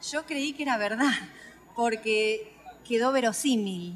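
With noticeable background noise behind her, a woman talks at a fairly slow pace with ordinary pitch variation. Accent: Rioplatense. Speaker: author. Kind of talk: interview.

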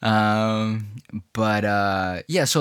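This man speaks in a New York accent. His pitch is fairly low. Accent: New York American English. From China (Hubei), then New York from age 11. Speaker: rapper. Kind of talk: casual interview.

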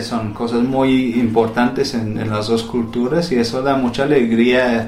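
This man has an English accent and a medium pitch, speaking very slowly with fairly even intonation. Noticeable background noise and audible room echo fill the recording. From England. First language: English (speaking Spanish). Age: 30s. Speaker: poet and school administrator. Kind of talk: interview. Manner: halting, many fillers and repeats.

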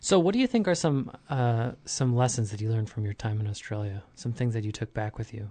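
Somewhat breathy and dark, mellow in tone, a man with an American accent talks at a fairly quick pace with hardly any pauses, using a medium pitch and ordinary pitch variation. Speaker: podcast host. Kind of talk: casual interview. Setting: studio.

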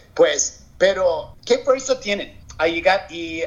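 In an American accent, a man talks at a high pitch. His intonation is lively. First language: English (speaking Spanish). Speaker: entrepreneur. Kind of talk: interview testimony. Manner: halting, with repetitions.

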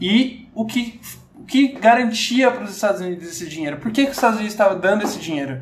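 Amid audible room echo and noticeable background noise, a man speaks at a very fast pace with a high pitch, lively intonation and big swings in loudness. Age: 20s. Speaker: podcast guest. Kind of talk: casual chat. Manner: halting.

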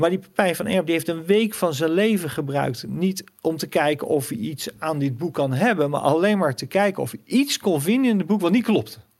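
A high-pitched man speaks with lively intonation and hardly any pauses. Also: moderate pace. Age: 50s. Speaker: financial commentator and author. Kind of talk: interview.

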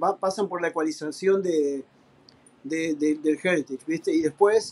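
A fairly slow pace in a dry, close sound with no echo. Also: man. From Argentina. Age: 50s. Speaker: professional drummer. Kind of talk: casual interview chat.

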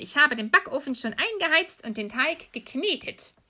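Bright, sharp female voice at a moderate pace in a very clean recording with a silent background. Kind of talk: bedtime story telling.

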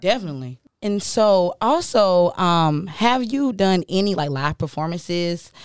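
A woman speaks at a fairly slow pace in a medium pitch with lively intonation, using a plain, everyday voice. The recording is very clean, with a silent background. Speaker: student podcast host. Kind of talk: casual interview.

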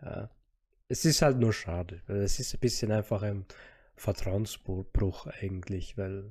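A man with a somewhat breathy voice and a dark, mellow tone speaks at a very slow pace with ordinary pitch variation, in a very clean recording with a silent background. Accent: Austrian. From Austria. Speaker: podcast co-host. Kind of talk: casual chat.

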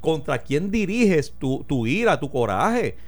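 A man with a Puerto Rican accent speaks at a fairly slow pace, his pitch swinging very widely. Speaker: radio talk show host. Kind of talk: casual political discussion.

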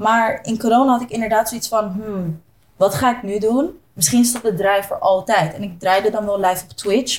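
The woman's voice is somewhat breathy, with ordinary pitch variation. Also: moderate pace. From Zoetermeer / The Hague area, Netherlands. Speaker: DJ and entrepreneur. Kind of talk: casual interview chat.

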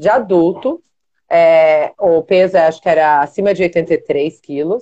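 In a dark, mellow tone, a woman speaks at medium pitch with ordinary pitch variation. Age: 40s. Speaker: jiu-jitsu athlete. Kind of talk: casual chat.

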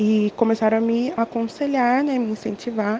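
Noticeable background noise sits under the woman's fairly high voice. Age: 20s. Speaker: law student. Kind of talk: interview.

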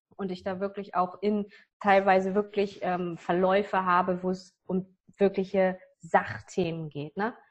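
At a fairly slow pace, a woman talks in a medium pitch with monotone, flat intonation. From northern Germany. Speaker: business coach. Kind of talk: interview.

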